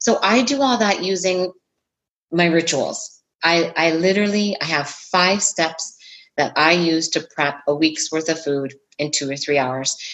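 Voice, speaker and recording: A woman's fairly low, normal speaking voice with ordinary pitch variation, a fairly slow pace, and very even loudness. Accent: Canadian. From Ontario, Canada. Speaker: fitness and nutrition coach. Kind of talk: casual interview.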